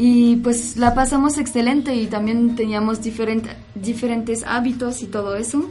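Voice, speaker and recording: Intonation stays monotone and flat while the delivery holds a moderate pace. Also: woman, fairly high pitch for a woman. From France. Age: 20s. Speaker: cultural center staff. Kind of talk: radio chat.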